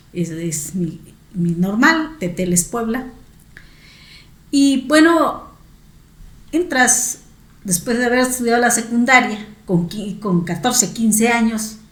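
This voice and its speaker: Over noticeable background noise and audible room echo, a woman with fairly high pitch and lively intonation speaks very slowly, leaving long, frequent pauses. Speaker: teacher and education academic. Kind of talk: interview.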